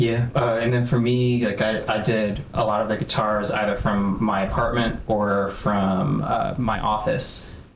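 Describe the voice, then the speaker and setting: A fairly low-pitched man with an American accent talks at a fairly slow pace with hardly any pauses, very even loudness and ordinary pitch variation, recorded with audible room echo and noticeable background noise. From US Midwest, north suburbs of Chicago. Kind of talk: casual chat.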